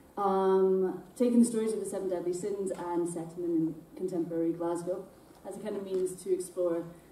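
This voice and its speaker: A woman talks at a moderate pace. Noticeable noise sits in the background. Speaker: poet and theatre maker. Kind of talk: casual introduction to a live audience. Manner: hesitant.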